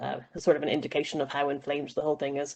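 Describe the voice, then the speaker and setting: A woman with an Irish accent, a very deep, low pitch and vocal fry. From Ireland. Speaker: panelist. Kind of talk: panel discussion.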